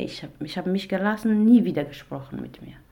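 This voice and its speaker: A woman's dark, mellow voice at a fairly quick pace, with ordinary pitch variation and audible room echo. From Iraq. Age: 20s. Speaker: domestic violence survivor, author and actress. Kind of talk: testimony. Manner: halting.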